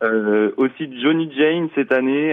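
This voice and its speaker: Very slow pace with ordinary pitch variation. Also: man. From Mayenne, France. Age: 20s. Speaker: festival programmer. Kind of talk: radio interview. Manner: halting.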